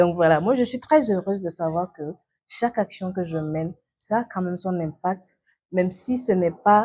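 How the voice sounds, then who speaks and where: Medium-pitched female speech at a moderate pace, dark and mellow in tone, with ordinary pitch variation. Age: 20s. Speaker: youth activist. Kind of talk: interview. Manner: halting.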